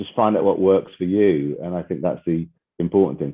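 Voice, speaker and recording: A man talks with a Brummie accent. His pitch varies in an ordinary way. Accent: Birmingham (Brummie). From England, Birmingham. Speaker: chief executive, podcast guest. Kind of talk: podcast interview. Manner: conversational, with frequent fillers.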